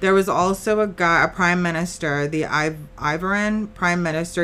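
A woman's animated tone at a moderate pace. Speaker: podcast co-host. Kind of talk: casual banter podcast chat. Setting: recording at home with a hot tub. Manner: profane, joking, animated.

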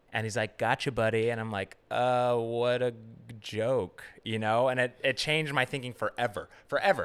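A man with an American accent has a plain, everyday voice at a medium pitch. He talks at a moderate pace with fairly even intonation. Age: 30s. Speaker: production assistant and comedy host. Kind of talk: casual chat.

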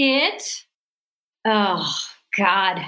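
Raised, projected female voice, bright and sharp in tone. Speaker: music therapist and singer-songwriter. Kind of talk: interview. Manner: animated.

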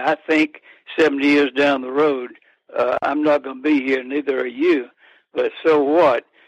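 This man speaks with an American accent at a fairly high pitch. The sound is dry and close, with no echo. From US South, Athens, Georgia. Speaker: author, life insurance expert. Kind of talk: interview.

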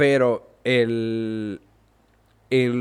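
A man's voice at medium pitch. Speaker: gaming podcast host. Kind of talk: solo podcast commentary. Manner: halting with many fillers.

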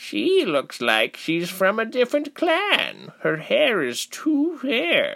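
A put-on character voice with vocal fry, a bright, sharp tone, very wide pitch swings and a slow pace. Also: man, high pitch for a man.

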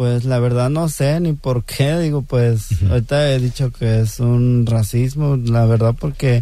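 This man has a dark, mellow tone and ordinary pitch variation. He talks at a fairly slow pace with hardly any pauses and very even loudness. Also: medium pitch for a man. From Mexico, Guerrero. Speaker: street corn vendor. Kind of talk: radio interview. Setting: studio.

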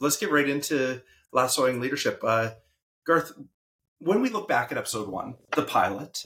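This man has a Canadian accent and an ordinary speaking voice. He talks at a moderate pace and a medium pitch. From Saskatchewan, Canadian prairies. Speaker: podcast co-host and educator. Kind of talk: casual chat.

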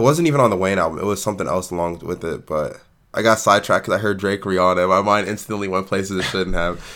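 An animated man at a very fast pace with a fairly low pitch. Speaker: podcast co-host. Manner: animated, casual, profane.

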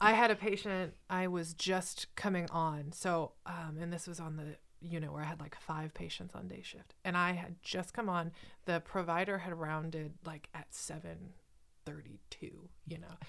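A woman with a plain, everyday voice speaks at a moderate pace, her fairly low pitch and fairly even intonation captured in a very clean recording with a silent background. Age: 30s. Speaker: nurse educator and podcast host. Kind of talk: casual chat.

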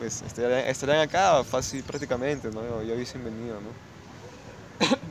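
The speaker has a plain, everyday voice. Delivery comes at a moderate pace with ordinary pitch variation. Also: man. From Peru, Lima. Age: 30s. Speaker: photographer. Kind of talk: interview.

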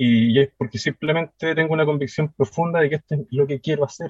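Somewhat breathy and spoken with a Chilean accent, the speech runs at a fairly quick pace with ordinary pitch variation. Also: man. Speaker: woodworking teacher. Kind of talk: casual chat.

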